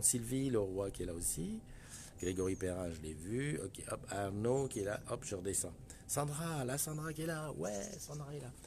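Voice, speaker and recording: With lively intonation and a dark, mellow tone, a man talks at a fairly slow pace amid audible room echo. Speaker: live stream host. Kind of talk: casual live stream chat. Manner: soft-spoken; hesitant.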